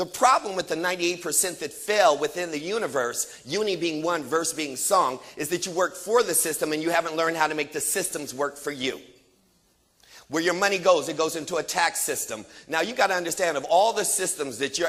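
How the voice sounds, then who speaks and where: Here a man speaks at a high pitch and a fairly quick pace, his tone bright, sharp and animated. His pitch varies in an ordinary way. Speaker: motivational speaker. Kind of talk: motivational speech. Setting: stage with audience. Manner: fast.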